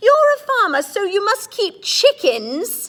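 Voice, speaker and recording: A woman's squeaky, put-on character voice, extremely high in pitch, with very wide pitch swings and a fairly slow pace. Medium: read story. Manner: cheerful, unflappable.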